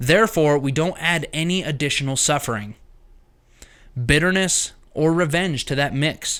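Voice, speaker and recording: A man speaks with a fairly high pitch. His intonation is lively. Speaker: self-help podcaster. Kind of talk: reading aloud. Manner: fast.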